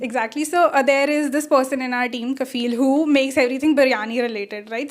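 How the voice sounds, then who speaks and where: Fairly quick speech from a woman, high-pitched, with ordinary pitch variation. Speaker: tech speaker, public speaking trainer. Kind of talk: Q&A after conference talk. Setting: stage with audience, live streamed. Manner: casual, code-switching Hindi and English.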